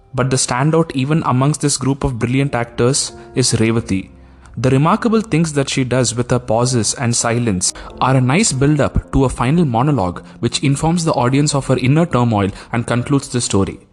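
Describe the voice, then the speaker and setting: A man with a Tamil accent speaks at a fairly quick pace and medium pitch, with ordinary pitch variation and very even loudness, over music in the background. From India, Tamil-speaking. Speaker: podcast host, film reviewer. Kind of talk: scripted podcast review.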